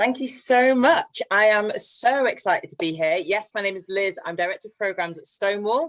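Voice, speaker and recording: A woman with a slight northwest English accent and a fairly high pitch talks at a moderate pace with hardly any pauses, lively intonation and big swings in loudness. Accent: slight northwest English twang. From northwest England, near Haydock (Merseyside/Lancashire). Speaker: LGBT charity director, panelist. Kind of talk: panel discussion. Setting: online webinar.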